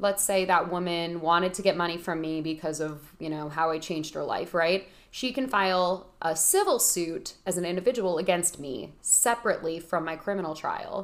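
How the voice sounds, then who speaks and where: With a plain, everyday voice, a woman talks at a moderate pace, fairly low in pitch and with ordinary pitch variation. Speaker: lawyer, legal expert. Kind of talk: casual explanatory interview.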